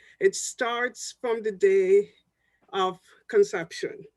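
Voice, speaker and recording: Someone with a Jamaican accent speaks at a very slow pace. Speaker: public health professor. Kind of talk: panel discussion talk.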